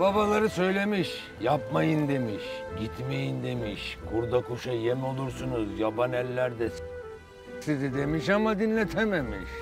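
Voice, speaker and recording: Male voice at a fairly slow pace, dry sound with no echo, clear music in the background. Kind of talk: acted storytelling monologue. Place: boat.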